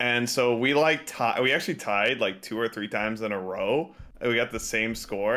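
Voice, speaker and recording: Ordinary pitch variation marks the man's fairly quick delivery. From Texas. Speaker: esports coach. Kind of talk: casual chat. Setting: video call.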